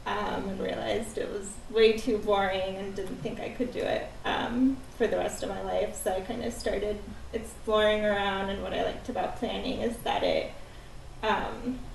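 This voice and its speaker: An American accent amid noticeable background noise and audible room echo. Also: woman, moderate pace. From Bulgaria, then US. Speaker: city planner. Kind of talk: casual introductions at work session.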